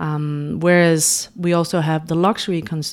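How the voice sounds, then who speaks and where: A woman with a Danish accent speaks with very deep, low pitch and fairly even intonation. The recording is very clean with a silent background. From Denmark. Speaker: beauty brand founder and makeup artist. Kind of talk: interview. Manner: hesitant, many fillers.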